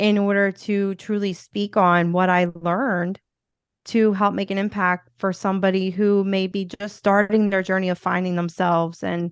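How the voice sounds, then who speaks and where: A woman speaks with a Philadelphia accent at a moderate pace, her intonation monotone and flat. The background is quiet. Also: medium pitch for a woman. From US Northeast, Philadelphia. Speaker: podcast host and motivational speaker. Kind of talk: interview conversation. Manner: casual, filler-heavy.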